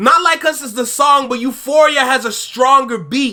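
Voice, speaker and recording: A man's raised, projected voice, extremely high in pitch, bright and sharp in tone and animated. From Canada. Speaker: YouTube reaction host. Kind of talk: reaction commentary.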